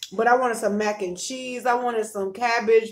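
A woman keeps a moderate pace with fairly even intonation. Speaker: vlogger. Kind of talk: casual vlog chat with faith talk. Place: home room. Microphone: phone near.

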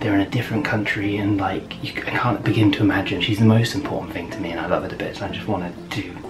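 Noticeable background noise runs under the recording. A man speaks at a very fast pace with hardly any pauses. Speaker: vlogger husband. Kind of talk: casual vlog chat. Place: home room. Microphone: camera far.

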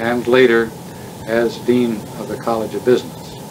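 There is noticeable background noise behind this man's voice. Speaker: oral history interviewer. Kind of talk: formal interview questions. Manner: formal, courteous. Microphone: old recording.

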